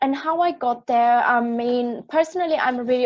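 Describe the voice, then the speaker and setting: A woman speaks with an Austrian accent at a moderate pace, her high pitch showing ordinary variation. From Austria, rural village. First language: German. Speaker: project manager. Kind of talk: panel discussion. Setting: live-streamed panel.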